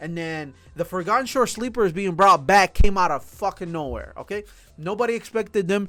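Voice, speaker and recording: A man's raised, projected voice, high and bright with a sharp tone, animated, fairly quick, with ordinary pitch variation and big swings in loudness. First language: not English. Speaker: anime and manga reviewer. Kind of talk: casual review.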